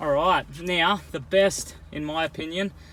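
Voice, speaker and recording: This is a man with an Australian accent. His pitch varies in an ordinary way. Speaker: car salesman. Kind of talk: personalized sales video walkthrough. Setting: in and around a car at a dealership. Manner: casual, chatty.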